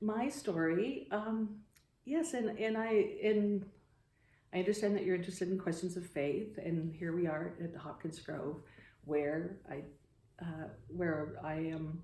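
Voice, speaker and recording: A woman with a Midwestern American accent speaks in a fairly low, dark, mellow voice that is somewhat breathy, with ordinary pitch variation, long and frequent pauses, and audible room echo. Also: fairly slow pace. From US Midwest, Iowa. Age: 60s. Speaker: photographer and climate activist. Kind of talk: interview. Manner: halting.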